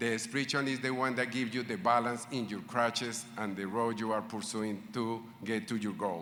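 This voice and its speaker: Through audible room echo, a man with a non-native accent speaks at a moderate pace and medium pitch, in a bright, sharp tone with fairly even intonation and hardly any pauses. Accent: foreign. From Latin America. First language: not English. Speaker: medical school faculty speaker. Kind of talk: ceremony speech.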